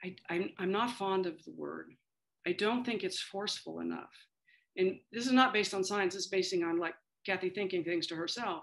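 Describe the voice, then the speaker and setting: A woman speaks with an American accent at a medium pitch, using ordinary pitch variation. Vocal fry runs through her voice over a quiet background. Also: moderate pace. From Kansas, US Midwest. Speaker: aging policy expert, former government official. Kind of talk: interview.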